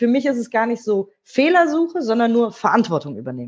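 A woman talks at a fairly quick pace with lively intonation. Her voice is fairly high-pitched and somewhat breathy. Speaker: radio host and author. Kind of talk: interview. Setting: video call.

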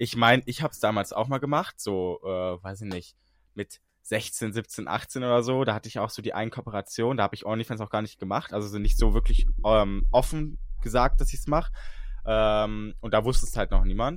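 Here is a man with a fairly low pitch and a plain, everyday voice, his pitch varying in an ordinary way. His loudness swings a lot, on a very clean recording with a silent background. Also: moderate pace. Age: 20s. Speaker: podcast co-host, content creator. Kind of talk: casual chat.

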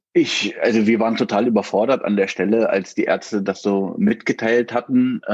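The speech moves at a moderate pace with hardly any pauses. Intonation is monotone and flat, and loudness stays very even. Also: man, medium pitch for a man. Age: 40s. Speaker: father of a child with Down syndrome, IT manager. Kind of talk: interview. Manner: halting, many filler words.

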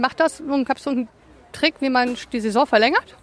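Speaking at a fairly quick pace, a woman with a high pitch keeps her intonation fairly even in a dry, close recording with no echo. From partly USA, German-American. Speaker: podcast co-host. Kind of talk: casual chat.

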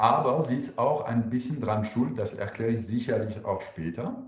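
A man with a French accent speaks at a medium pitch in a somewhat breathy voice, with audible room echo. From France. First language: French (speaking German). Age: 40s. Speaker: wine entrepreneur. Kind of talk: interview. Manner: hesitant, with fillers.

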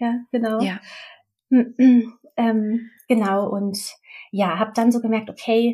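A woman with a fairly high pitch speaks in a monotone, flat intonation, her voice somewhat breathy. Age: 30s. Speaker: midwife. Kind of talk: interview, personal birth story.

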